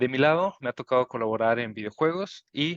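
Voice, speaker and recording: A man with a northern Mexican accent, medium pitch and ordinary pitch variation, at a moderate pace, in a dry, close sound with no echo. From northern Mexico, Chihuahua. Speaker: board game designer. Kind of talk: panel talk.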